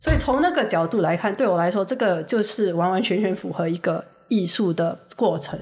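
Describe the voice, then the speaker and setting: At a fairly quick pace, a woman talks in an ordinary speaking voice, with a medium pitch and ordinary pitch variation. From Singapore. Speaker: guest, visiting friend. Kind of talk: casual chat.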